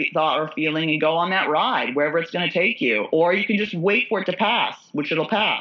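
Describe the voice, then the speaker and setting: A woman talks at a fairly quick pace. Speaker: author and comedian. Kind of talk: casual chat.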